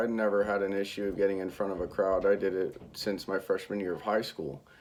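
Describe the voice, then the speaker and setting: The man is mumbling. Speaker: college student. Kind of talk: self-critique monologue. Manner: monotone.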